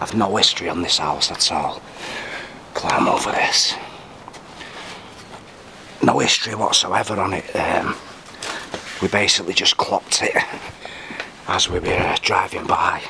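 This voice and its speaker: A man talks at a moderate pace with long, frequent pauses, and noticeable background noise can be heard. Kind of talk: casual vlog commentary. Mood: excited, impressed. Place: farm machine. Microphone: phone near.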